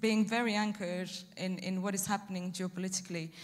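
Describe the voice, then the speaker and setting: A woman's somewhat breathy voice at a fairly quick pace with fairly even intonation. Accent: Romanian. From Romania. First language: Romanian. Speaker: EU energy policy officer. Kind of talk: panel discussion. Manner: halting, many fillers.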